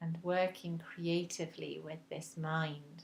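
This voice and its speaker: A woman's very deep, low, somewhat breathy voice, monotone and flat, at a very slow pace. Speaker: meditation guide. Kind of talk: guided meditation. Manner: slow, soft-spoken.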